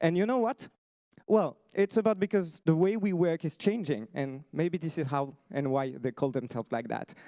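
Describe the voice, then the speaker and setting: A man with a French accent speaks at a moderate pace, fairly high in pitch with very wide pitch swings. His tone is dark and mellow, and the sound is dry and close with no echo. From France. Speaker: startup founder. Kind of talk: pitch presentation.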